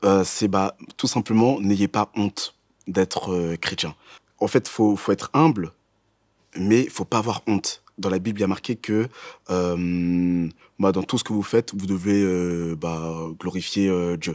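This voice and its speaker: The speech moves at a very slow pace with ordinary pitch variation against a quiet background. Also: man, very deep, low pitch for a man. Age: 20s. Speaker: student; interviewee. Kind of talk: testimony. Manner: halting. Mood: upbeat, enthusiastic. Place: studio.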